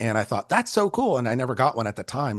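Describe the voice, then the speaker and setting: A man with a Californian accent speaks at a medium pitch with very wide pitch swings over a quiet background. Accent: Californian American. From Northern California, Bay Area. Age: 60s. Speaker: photographer. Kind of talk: casual chat.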